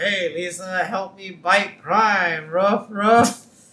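In a put-on character voice, the speaker sounds gruff and goes at a very slow pace. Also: man, high pitch for a man. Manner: parody, barking.

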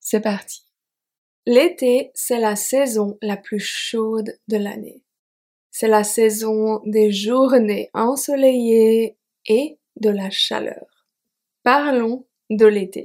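Very slow speech with long, frequent pauses and fairly even intonation. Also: woman, fairly high pitch for a woman. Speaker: French teacher podcaster. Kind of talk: slow scripted narration for learners. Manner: clear articulation.

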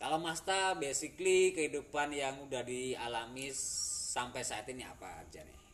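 Over noticeable background noise, a man at medium pitch talks at a moderate pace with ordinary pitch variation, big swings in loudness and hardly any pauses. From Central Java, Indonesia. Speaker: podcast host. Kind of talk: casual chat.

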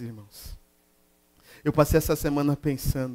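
A fairly slow man's voice, fairly high in pitch. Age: 40s. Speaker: pastor. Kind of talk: sermon. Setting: church.

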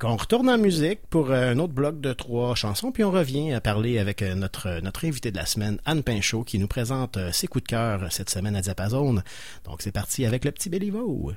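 With a Quebec accent, a man's voice swings very widely in pitch on a very clean recording with a silent background. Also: medium pitch for a man, fairly quick pace. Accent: Québécois French. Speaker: radio host. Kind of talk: radio show hosting. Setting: radio studio. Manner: halting, many repetitions.

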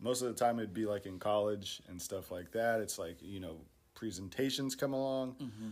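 A man speaks in a normal speaking voice at a moderate pace. His pitch is fairly low, with ordinary pitch variation. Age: 20s. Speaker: podcast co-host. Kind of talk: casual chat.

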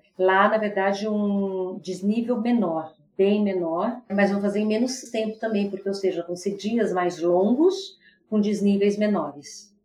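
A woman speaks at a fairly slow pace. Her medium-pitched voice is somewhat breathy, with fairly even intonation. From São Paulo, Brazil. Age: 50s. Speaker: business executive. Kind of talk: casual interview chat.

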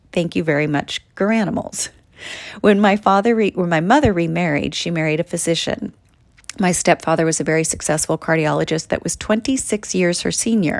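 The pace here is fairly quick, with ordinary pitch variation. The voice is a normal speaking voice. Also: woman, fairly low pitch for a woman. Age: 40s. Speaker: podcast host and actor. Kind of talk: reading aloud from own book. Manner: warm, upbeat.

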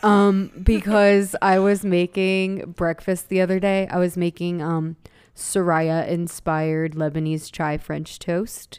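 A woman with an American accent, fairly low in pitch, at a very slow pace with fairly even intonation. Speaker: podcast co-host. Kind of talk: casual chat.

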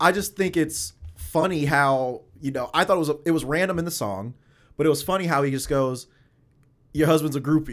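He has a normal speaking voice, fairly high for a man. His pace is fairly quick, with ordinary pitch variation. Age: 20s. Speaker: podcast co-host. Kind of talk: casual chat.

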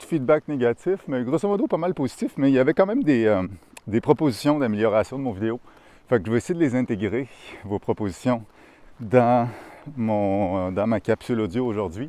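A man with a Quebec accent speaks at a medium pitch and a moderate pace, his tone dark and mellow, with very wide pitch swings. He takes long, frequent pauses, and the sound is dry and close with no echo. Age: 30s. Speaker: podcaster. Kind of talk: casual monologue. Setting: outdoors walking in a park. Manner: hesitant, many fillers. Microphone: new lavalier mic recorded on phone.

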